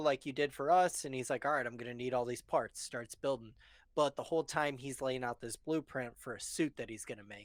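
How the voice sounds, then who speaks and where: On a very clean recording with a silent background and a dry, close sound with no echo, a man mumbles at a fairly quick pace with ordinary pitch variation. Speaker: movie discussion podcast co-host. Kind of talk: casual chat on live stream. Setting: live stream. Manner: mumbles easily, over-enunciates; adds extra sounds to words.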